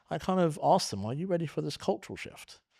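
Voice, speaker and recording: Speaking very fast with a London accent, the voice moves through lively intonation on a very clean recording with a silent background. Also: man. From London, England. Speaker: podcast host, tax adviser. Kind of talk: interview conversation.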